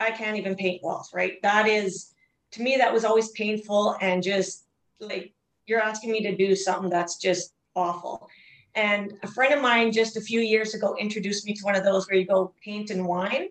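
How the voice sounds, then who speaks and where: At a moderate pace, a woman with a medium pitch talks with fairly even intonation. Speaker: resiliency trainer. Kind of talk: interview. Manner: soothing.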